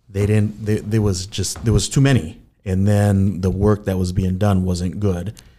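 With an Upper Midwest accent, a man speaks at a moderate pace in a fairly low, dark, mellow voice with fairly even intonation. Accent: Upper Midwest American. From Saint Paul, Minnesota (West Side). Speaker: real estate agent. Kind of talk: interview.

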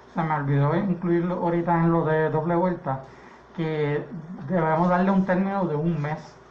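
A high-pitched man with monotone, flat intonation, audible room echo, and noticeable background noise. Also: moderate pace. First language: English (speaking Spanish). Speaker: political candidate. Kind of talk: radio panel discussion.

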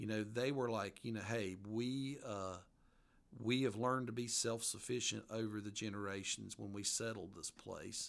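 Keeping his intonation fairly even, a man with a medium pitch speaks at a moderate pace. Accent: strong Appalachian. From western North Carolina mountains. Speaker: author. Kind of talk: casual interview. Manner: hesitant, folksy, many fillers.

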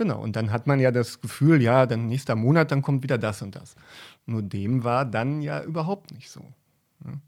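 Very clean recording with a silent background, a man at medium pitch with ordinary pitch variation and big swings in loudness. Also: moderate pace. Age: 40s. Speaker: cameraman. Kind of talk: interview. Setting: hotel. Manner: halting.

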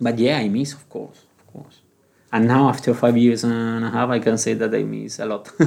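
Man with a Spanish accent, medium pitch, monotone, flat intonation and a moderate pace. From Canary Islands, Spain. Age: 40s. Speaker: retail manager. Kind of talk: interview.

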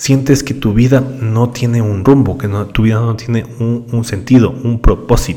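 A man's ordinary speaking voice of medium pitch, with ordinary pitch variation and a moderate pace. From Ecuador. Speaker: podcast host, digital marketer. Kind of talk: solo podcast monologue. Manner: conversational with frequent fillers and repetitions.

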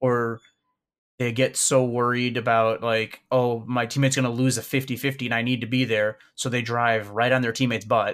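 A man with a Chicago accent talks at a moderate pace in a monotone, flat intonation. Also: medium pitch for a man, very clean recording, silent background. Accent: Chicago American. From US Midwest, Chicago. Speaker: gaming community organizer. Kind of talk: casual interview.

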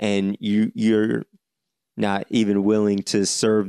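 A man with an American accent speaks in a fairly low pitch with a dark, mellow tone and monotone, flat intonation. The recording is very clean with a silent background, its sound dry and close with no echo. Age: 20s. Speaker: podcast host. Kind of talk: solo commentary monologue. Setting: solo podcast recording. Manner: halting, with frequent fillers and restarts.

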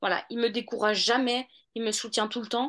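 A woman's voice against a quiet background. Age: 30s. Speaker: law student and mother. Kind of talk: interview testimony.

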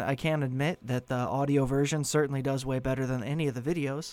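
Here a man with a fairly high pitch uses an ordinary speaking voice. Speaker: podcast host and narrator. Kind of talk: horror story narration, read aloud. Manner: hushed, slow and suspenseful, building dread; intimate first-person storytelling, eerie.

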